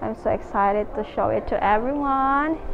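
Noticeable background noise runs under this recording. A woman speaks at a high pitch. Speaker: travel vlogger. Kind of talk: casual vlog chat. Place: shop. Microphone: phone near.

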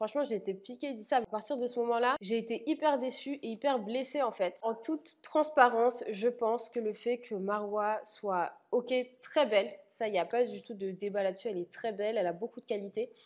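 In a quiet background, a woman with a fairly high pitch talks at a moderate pace with ordinary pitch variation. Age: 20s. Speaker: reality TV contestant. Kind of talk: interview monologue. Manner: blunt, spontaneous. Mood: candid, slightly hurt. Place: home room. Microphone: lapel.

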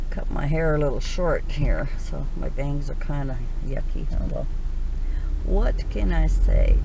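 A woman's voice, dry with no echo, against noticeable background noise. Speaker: vlogger. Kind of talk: casual vlog chat. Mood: relaxed, chatty. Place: car. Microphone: phone near.

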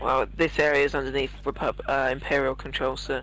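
A raspy put-on character voice from a man, delivered at a middling speed. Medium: game stream. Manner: curt, commanding.

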